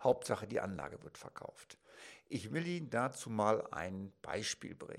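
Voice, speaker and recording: An ordinary speaking voice from a man with lively intonation, in a very clean recording with a silent background. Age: 50s. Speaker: financial advisor. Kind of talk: educational talk to camera. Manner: formal.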